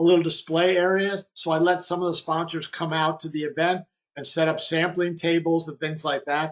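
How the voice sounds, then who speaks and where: At a fairly quick pace, a man talks with a high pitch. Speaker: webinar presenter on golf fundraising events. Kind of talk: webinar presentation. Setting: online webinar. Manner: fast; casual with fillers and restarts.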